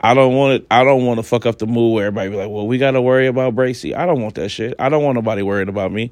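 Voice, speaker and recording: A very fast, medium-pitched male voice with fairly even intonation and hardly any pauses. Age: 30s. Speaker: podcast host. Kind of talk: personal monologue. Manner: casual, halting with fillers.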